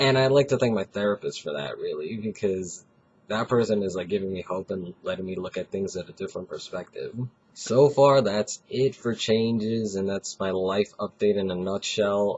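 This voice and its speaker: A man speaks at a fairly low pitch with ordinary pitch variation. His pace is moderate. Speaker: vlogger. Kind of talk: video diary. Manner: casual, halting.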